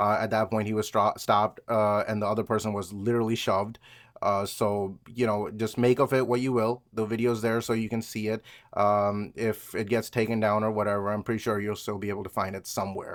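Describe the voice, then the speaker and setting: Speaking with a non-native accent, a man talks at a fairly quick pace and fairly low pitch. His intonation is monotone and flat, on a very clean recording with a silent background. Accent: trouble with V and W sounds. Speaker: vlogger. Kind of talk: casual monologue. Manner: halting, many fillers.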